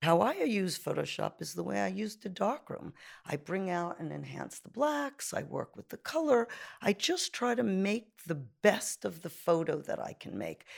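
With a New York accent, a woman talks at a moderate pace, her loudness rising and falling in big swings. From Brooklyn, New York (Canarsie). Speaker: photographer and art professor. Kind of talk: interview. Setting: her studio.

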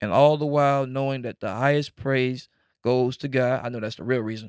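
A man speaks in a normal speaking voice at medium pitch and a fairly quick pace. His intonation is fairly even, and the recording is very clean, with a silent background. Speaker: podcast host.

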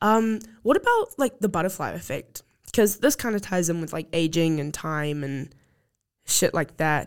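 In a New Zealand accent, a woman speaks with fairly low pitch and lively intonation at a moderate pace. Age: young. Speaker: podcast host. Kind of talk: casual chat.

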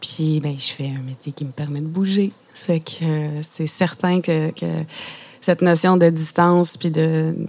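Very deep and low in pitch, a woman speaks at a very slow pace with fairly even intonation. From Quebec (Saguenay, PEI, Outaouais). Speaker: playwright and poet. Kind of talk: poetry reading. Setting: mobile radio studio truck at outdoor exhibition.

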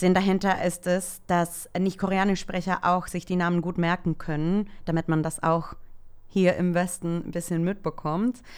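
A woman with a Spanish accent speaks at a moderate pace in a fairly low pitch. Her intonation is monotone and flat on a very clean recording with a silent background. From El Salvador. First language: Spanish (speaking German). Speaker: social media worker, K-pop fan. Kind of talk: casual interview. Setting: studio, sitting next to host.

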